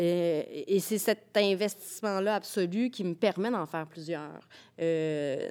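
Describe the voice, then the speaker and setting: The speech is very slow with ordinary pitch variation, captured in a very clean recording with a silent background. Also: woman, medium pitch for a woman. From Quebec, Rivière-du-Loup. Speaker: playwright. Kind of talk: casual chat.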